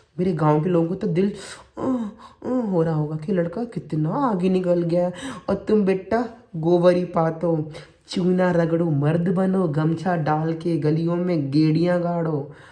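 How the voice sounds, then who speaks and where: A high-pitched man in a playful, animated tone, with ordinary pitch variation and audible room echo. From India, Uttar Pradesh (Shikohabad). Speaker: vlogger, kidney transplant recipient, writer. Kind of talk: casual vlog monologue.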